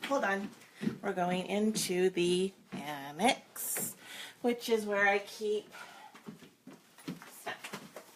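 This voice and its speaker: Pausing long and often, a woman speaks at a very slow pace with a medium pitch and ordinary pitch variation over noticeable background noise. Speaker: romance novelist. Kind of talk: casual live-stream chat. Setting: home office, live video.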